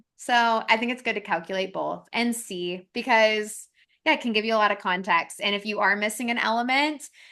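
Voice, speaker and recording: A woman speaks with a bright, sharp tone and ordinary pitch variation. The background is quiet. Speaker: astrology podcast co-host. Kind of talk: casual podcast discussion. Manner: fast-talking.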